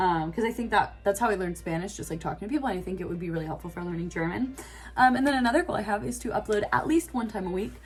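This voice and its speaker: The pace is very fast. The intonation is lively. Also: woman, medium pitch for a woman. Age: 20s. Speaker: classical singer and vlogger. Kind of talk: casual vlog monologue. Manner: casual with many filler words.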